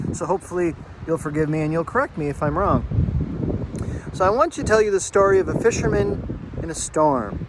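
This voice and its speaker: A man with a fairly high pitch talks at a fairly quick pace against noticeable background noise. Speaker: therapist. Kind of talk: casual talk to camera. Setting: outdoors.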